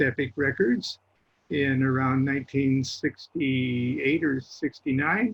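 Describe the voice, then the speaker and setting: Speaking with an American accent, a man talks at a very slow pace and a fairly high pitch. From Nebraska, US Midwest. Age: 70s. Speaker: author and Freemason, podcast guest. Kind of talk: casual interview. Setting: podcast recording.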